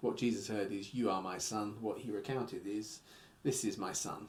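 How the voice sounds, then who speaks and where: Audible room echo surrounds a man as he speaks. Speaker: Bible teacher. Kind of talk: bible study lecture. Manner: halting, many fillers.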